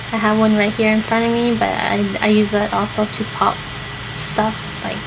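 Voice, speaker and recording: Recorded with audible room echo and noticeable background noise, a woman speaks at a fairly slow pace. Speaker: vlogger sharing personal experience with self-harm. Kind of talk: personal advice vlog. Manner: halting, many fillers and restarts.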